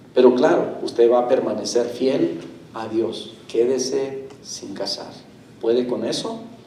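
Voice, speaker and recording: Against noticeable background noise and audible room echo, a man at a medium pitch speaks at a very slow pace with fairly even intonation. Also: big swings in loudness. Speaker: pastor. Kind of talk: sermon. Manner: slow, deliberate pacing.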